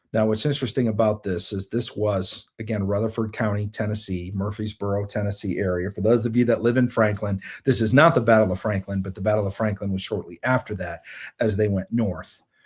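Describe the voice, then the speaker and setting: A man talks at a fairly quick pace in a fairly low pitch. His voice is somewhat breathy. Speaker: show host on prophetic and spiritual topics. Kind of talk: live online teaching broadcast. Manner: fast; animated.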